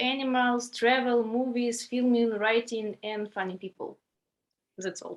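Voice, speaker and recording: A woman with a Ukrainian accent speaks at a fairly high pitch. Her pace is moderate, and the background is quiet. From Ukraine, Melitopol. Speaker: English language student. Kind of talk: reading aloud.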